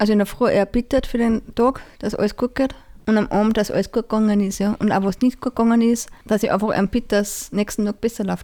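A dark, mellow tone rushes along at a very fast pace with monotone, flat intonation. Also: woman, fairly high pitch for a woman. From Austria, Salzburg region (Pongau). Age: 20s. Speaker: parish council member and gardener. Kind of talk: interview.

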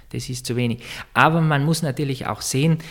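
A man talks at a moderate pace in a normal speaking voice. His intonation is fairly even. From Austria, East Tyrol. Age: 30s. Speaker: church music director. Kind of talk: interview. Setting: office in a monastery.

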